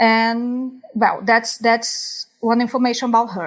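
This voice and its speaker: A woman speaks with a Brazilian accent. Her pitch is fairly high. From Brazil, Rio de Janeiro (West zone). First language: Portuguese. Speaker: psychologist. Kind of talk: interview conversation. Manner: halting, repeats words.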